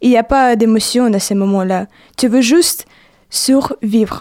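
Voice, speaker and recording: The voice has a dark, mellow tone, ordinary pitch variation and a Ukrainian accent. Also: woman. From Ukraine. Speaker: university student. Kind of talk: testimony. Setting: studio.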